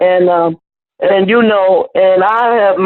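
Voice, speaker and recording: At a fairly slow pace and medium pitch, a woman talks in an ordinary speaking voice. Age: 60s. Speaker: student. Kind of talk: class discussion.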